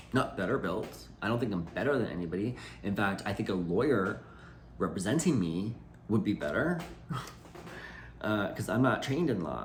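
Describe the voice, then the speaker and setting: Loud, with vocal fry and very wide pitch swings, a man leaves long, frequent pauses amid audible room echo. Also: fairly low pitch for a man, moderate pace. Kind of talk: personal video message. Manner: halting.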